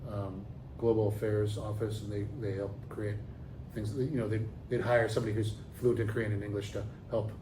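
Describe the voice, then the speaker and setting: A man with a fairly low, dark, mellow and somewhat breathy voice speaks at a fairly quick pace in a monotone, flat delivery. He takes long, frequent pauses, and the room echo is audible. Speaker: professor. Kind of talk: interview. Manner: fast; halting, many fillers and restarts.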